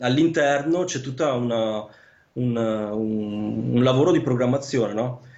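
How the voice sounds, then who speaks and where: Audible room echo surrounds a man speaking at a medium pitch and fairly slow pace. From northern Italy, Vicenza (Veneto). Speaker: land surveyor. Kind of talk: casual interview. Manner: halting, many fillers and repetitions.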